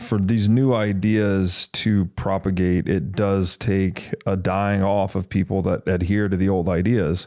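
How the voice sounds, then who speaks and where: With a plain, everyday voice, a man speaks at a fairly slow pace and fairly low pitch, keeping fairly even intonation, hardly any pauses and very even loudness, on a very clean recording with a silent background. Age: 30s. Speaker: podcast host. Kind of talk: casual chat.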